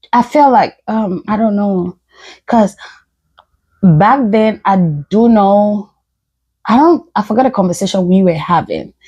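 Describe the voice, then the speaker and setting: A woman speaks fairly slowly with long, frequent pauses, her medium-pitched voice somewhat breathy and dark, mellow in tone, with ordinary pitch variation. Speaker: podcast co-host. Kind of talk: casual chat.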